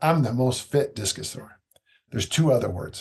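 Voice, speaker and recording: A man speaks with a somewhat breathy voice, a dark, mellow tone, medium pitch and ordinary pitch variation. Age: 60s. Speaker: strength coach. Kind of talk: podcast interview.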